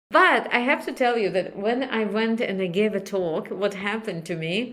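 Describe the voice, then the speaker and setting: A bright, sharp tone at a moderate pace. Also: woman. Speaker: computer science professor. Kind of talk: interview. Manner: halting, many fillers.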